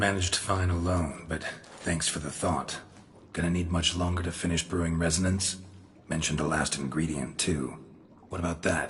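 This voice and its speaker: Someone performs a put-on character voice at a moderate pace. Clear background noise can be heard. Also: man, very deep, low pitch for a man. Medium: machinima. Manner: terse, dry, drops subjects.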